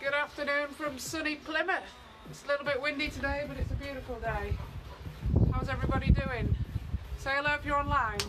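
Over clear music in the background, a woman speaks at a very fast pace in a raised, projected voice. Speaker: fitness instructor. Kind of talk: live workout instructions. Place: garden. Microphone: camera far.

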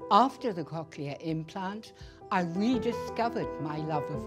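A woman at a very slow pace over clear music in the background. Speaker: cochlear implant patient, violinist. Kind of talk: testimonial interview answer. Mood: warm, reflective testimonial. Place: studio.

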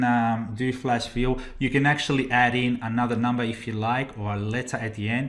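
Talking at a fairly quick pace, a man with a medium pitch speaks in an Australian accent. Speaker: Excel trainer. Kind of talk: tutorial.

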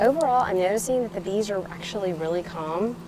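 A woman's voice comes through dry with no echo, though noticeable background noise is present. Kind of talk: casual vlog chat. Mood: amused, calm wonder. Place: garden.

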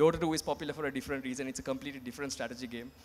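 A man is talking. The variation in his pitch is ordinary. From Sri Lanka. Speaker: esports association president; panelist. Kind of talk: panel discussion. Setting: stage with audience. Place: stage. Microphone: handheld.

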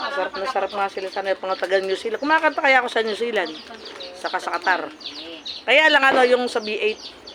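Over noticeable background noise, a woman with a fairly high pitch talks very fast with lively intonation. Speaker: vlogger. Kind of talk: casual chat. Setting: party. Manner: animated.

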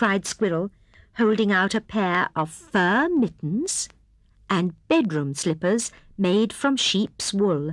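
Nothing but plain reading aloud

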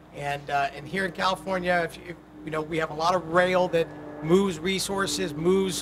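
Over noticeable background noise, a man with a high pitch for a man speaks at a moderate pace with fairly even intonation. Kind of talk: press conference remarks. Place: street. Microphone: podium.

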